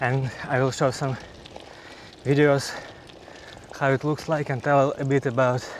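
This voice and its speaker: Speaking at a moderate pace with a non-native accent, a man with a medium-pitched voice delivers his words in a flat monotone over noticeable background noise. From Ukraine. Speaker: cycling vlogger. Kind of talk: casual vlog monologue. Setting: outdoors on a bike. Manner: halting.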